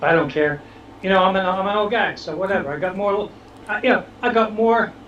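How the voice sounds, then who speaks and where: The speaker talks at a fairly quick pace in a Boston accent, with noticeable background noise. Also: man, high pitch for a man, ordinary pitch variation. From Boston, Dorchester (Massachusetts). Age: 60s. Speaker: social media influencer. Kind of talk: casual interview.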